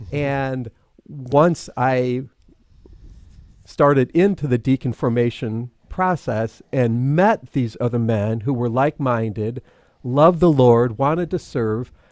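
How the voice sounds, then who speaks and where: This man talks at a very slow pace with a Midwestern American accent. The recording is very clean, with a silent background and a dry, close sound with no echo. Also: medium pitch for a man, ordinary pitch variation. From US Midwest (Toledo, Ohio). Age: 60s. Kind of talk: casual interview chat.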